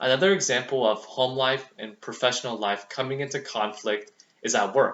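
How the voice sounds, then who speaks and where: With an American accent, a man speaks at a moderate pace and medium pitch. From US, Vietnamese American family. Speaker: student. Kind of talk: speech. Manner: formal.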